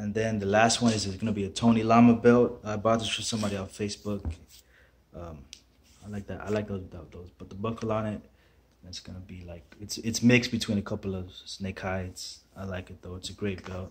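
The voice is somewhat breathy. Intonation stays monotone and flat. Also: man, fairly low pitch for a man. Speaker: boot collector vlogger. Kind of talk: casual vlog chat. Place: home room. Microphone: phone near.

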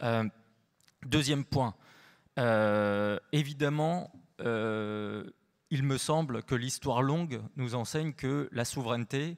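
A man at a very slow pace, with ordinary pitch variation, over a quiet background. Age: 40s. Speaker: researcher; panelist. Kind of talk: panel discussion. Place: hall. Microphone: handheld.

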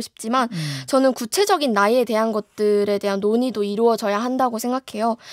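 Against a quiet background with dry sound and no echo, a woman with fairly high pitch speaks fairly quickly with fairly even intonation. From South Korea. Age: young. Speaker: student political campaign co-chair. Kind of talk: radio interview. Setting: studio. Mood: calm, polite, thoughtful. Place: studio. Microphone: studio mic.

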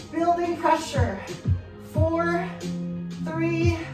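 Clear music plays in the background and the room echo is audible while a woman speaks at a very slow pace. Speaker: fitness instructor. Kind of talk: workout instruction cues. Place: home room. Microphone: camera far.

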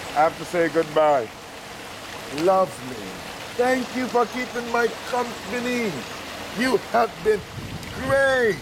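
In a playful tone, a man speaks at an extremely high pitch and a very slow pace, with long, frequent pauses and noticeable background noise. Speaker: radio broadcaster and travel vlogger. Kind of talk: casual talk to camera. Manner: playful, affectionate, talking to a turtle. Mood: playful, affectionate. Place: waterside.

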